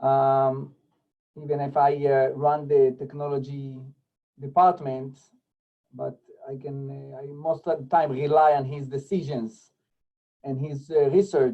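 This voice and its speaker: Over background music, a man with a non-native accent and a fairly high pitch speaks at a very slow pace. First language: not English. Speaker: rabbi and school technology director. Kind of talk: presentation. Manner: halting.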